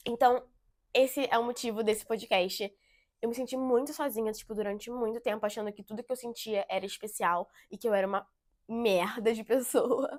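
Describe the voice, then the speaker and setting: A woman speaks at a fairly high pitch with fairly even intonation and big swings in loudness, recorded very cleanly against a silent background. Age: 20s. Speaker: podcast host. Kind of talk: casual monologue. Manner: fast; talkative, topics run together.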